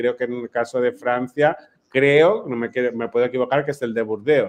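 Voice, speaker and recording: Medium pitch from a man, a moderate pace and fairly even intonation. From Mallorca, Spain. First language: Catalan (speaking Spanish). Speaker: playwright. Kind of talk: panel discussion.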